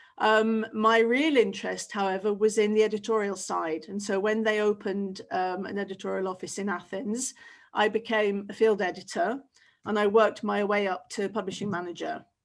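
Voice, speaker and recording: A woman speaks with a British accent at a moderate pace, her intonation fairly even. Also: medium pitch for a woman. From Britain. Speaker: teacher trainer. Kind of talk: webinar presentation. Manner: casual, with frequent fillers. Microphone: webcam.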